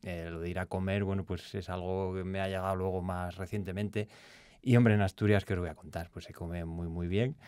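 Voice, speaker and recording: Over a quiet background, a man talks at a fairly quick pace in a very deep, low pitch. His intonation stays fairly even. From Castile and León, Spain (Béjar, Salamanca); Castile and León, Spain. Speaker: food safety science communicator; podcast guest. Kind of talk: casual chat. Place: studio. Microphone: studio mic.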